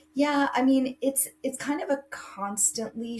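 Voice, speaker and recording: A woman's pitch varies in an ordinary way as noticeable background noise runs beneath her. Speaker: college admissions counselor. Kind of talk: interview.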